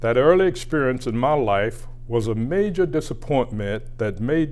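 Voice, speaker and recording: A man's medium-pitched voice at a fairly slow pace, with audible room echo. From US South, Georgia. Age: 80s+. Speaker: civil rights leader and former politician. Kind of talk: award acceptance speech. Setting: recorded address. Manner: formal.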